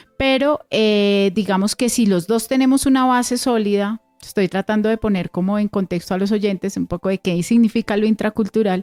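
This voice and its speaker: A woman's fairly high voice at a moderate pace with hardly any pauses and very even loudness, dry and close with no echo, over music in the background. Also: ordinary pitch variation. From Colombia, Cundiboyacense highlands. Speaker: radio host. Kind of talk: radio interview.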